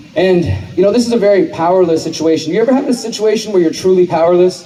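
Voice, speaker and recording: A man with an American accent speaks very fast at a high pitch, his intonation lively. Noticeable background noise and audible room echo surround him. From Texas, Houston. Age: 30s. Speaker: activist and journalist. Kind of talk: public speech. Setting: stage with audience.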